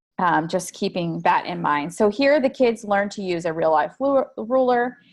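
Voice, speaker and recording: The speaker's intonation is lively. The background is quiet. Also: woman. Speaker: education company presenter. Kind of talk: webinar product demo. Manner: fast; casual with many fillers.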